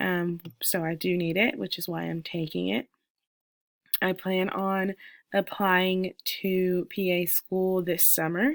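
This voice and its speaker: Very slow and marked by long, frequent pauses, a woman with an American accent speaks at a medium pitch with ordinary pitch variation, in a very clean recording with a silent background and a dry, close sound with no echo. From US South, Little Rock, Arkansas. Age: 20s. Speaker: student. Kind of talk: self-introduction recording for a class. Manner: hesitant, many fillers.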